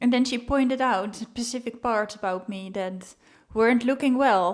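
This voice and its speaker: With a Dutch accent, a woman speaks at a moderate pace in a fairly high voice with ordinary pitch variation, on a very clean recording with a silent background. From Netherlands. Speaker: vlogger. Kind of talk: casual vlog talk.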